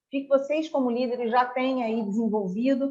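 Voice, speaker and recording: Her high-pitched voice, a woman's, holds fairly even intonation. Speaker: corporate trainer. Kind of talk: online training talk. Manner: fast.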